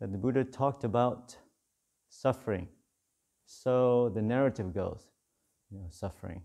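Against a quiet background, a man with a dark, mellow tone speaks at a moderate pace with ordinary pitch variation. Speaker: monk teacher. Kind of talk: dharma talk. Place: hall.

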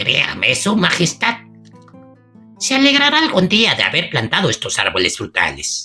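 Faint music plays behind a put-on character voice with fairly high pitch, delivered at a moderate pace. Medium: read story. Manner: cheerful, respectful, knowing.

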